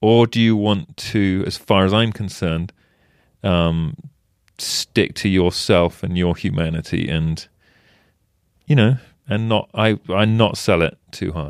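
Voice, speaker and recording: With an English accent, a man talks fairly slowly at a fairly low pitch, with ordinary pitch variation and long, frequent pauses. The recording is very clean with a silent background. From England. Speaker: wildlife photojournalist. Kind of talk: casual interview.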